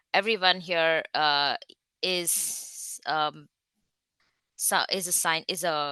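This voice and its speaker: A woman with a fairly low pitch and an Indian accent, bright, sharp tone, monotone, flat intonation, dry, close sound with no echo. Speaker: research scientist. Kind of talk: online talk.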